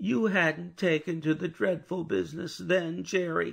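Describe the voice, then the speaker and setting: A raspy, put-on male character voice, fairly high in pitch, at a moderate pace with ordinary pitch variation. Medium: read story. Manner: pleading, timid.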